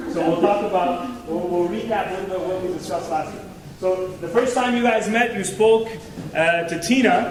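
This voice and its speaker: A man speaks loudly at a high pitch and moderate pace with ordinary pitch variation, with audible room echo and noticeable background noise. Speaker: guest speaker on marriage. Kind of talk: talk to youth group. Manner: interactive, joking.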